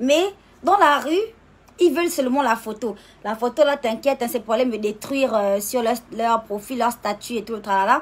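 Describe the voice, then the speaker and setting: This woman's fairly high voice moves at a moderate pace, its pitch varying in an ordinary way. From Gabon. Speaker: social media personality. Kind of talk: casual live stream monologue. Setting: live video stream. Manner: animated.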